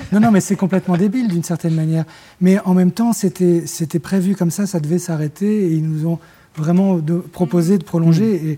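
Recorded very cleanly against a silent background, a man with a high pitch and a dark, mellow tone speaks at a moderate pace with fairly even intonation. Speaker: singer-songwriter and record producer. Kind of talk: casual interview. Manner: halting.

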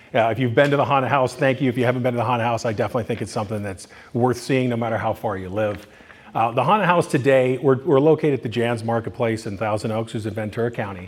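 Over noticeable background noise, a man with an American accent talks at a very fast pace. His pitch is medium, with ordinary pitch variation. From Southern California. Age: 50s. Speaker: haunted house owner. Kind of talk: conference presentation. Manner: halting.

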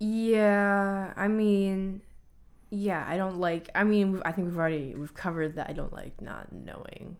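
A woman with an unremarkable speaking voice talks at a fairly slow pace, with big swings in loudness. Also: medium pitch for a woman, fairly even intonation. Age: 20s. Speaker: college student and choreographer. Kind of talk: casual chat.

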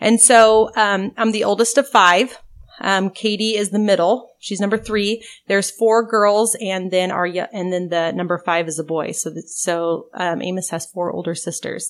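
A woman talks in a normal speaking voice at medium pitch and a moderate pace, with ordinary pitch variation. The recording is very clean with a silent background. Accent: American. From rural Oregon (Albany area). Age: 40s. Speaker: state legislator. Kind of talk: interview. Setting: on a farm.

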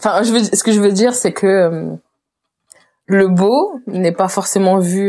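Speaking at a very slow pace, a woman uses a dark, mellow tone at medium pitch with ordinary pitch variation. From Réunion. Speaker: painter and illustrator. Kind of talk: interview conversation. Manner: hesitant, many fillers.

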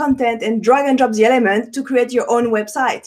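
A woman speaks with a French accent. Her pitch is high. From France, Paris. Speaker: web developer and entrepreneur. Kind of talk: interview. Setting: video call. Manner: halting.

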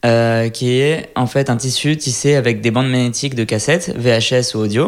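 This man talks at a moderate pace in a medium pitch, with fairly even intonation. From France, Lyon. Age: 30s. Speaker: fashion designer. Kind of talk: interview. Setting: designer's workshop. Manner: hesitant, many fillers.

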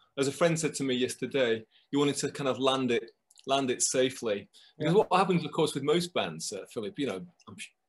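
Somewhat breathy, a man speaks with a fairly high pitch. His pace is fairly quick. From northern England, near Manchester, Lancashire. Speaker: composer and music producer. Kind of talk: casual chat.

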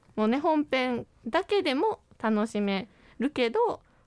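A high-pitched woman's voice with very wide pitch swings, in a dry, close sound with no echo on a very clean recording with a silent background. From Wakayama, Japan. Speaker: student scriptwriter and host. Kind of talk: casual radio promo chat.

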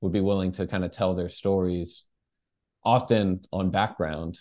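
A man with an American accent speaks in a dark, mellow tone. The background is quiet. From Texas (Dallas). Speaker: journalist and author. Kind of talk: interview.

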